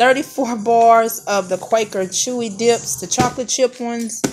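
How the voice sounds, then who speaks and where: Very slow speech from a woman with ordinary pitch variation comes through over noticeable background noise. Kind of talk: casual vlog chat. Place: home room. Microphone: phone near.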